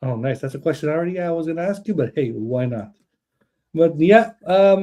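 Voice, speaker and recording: A man's dark, mellow voice, fairly high in pitch, moves at a fairly quick pace. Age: 30s. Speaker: wrestling podcast host. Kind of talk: casual chat. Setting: online video stream.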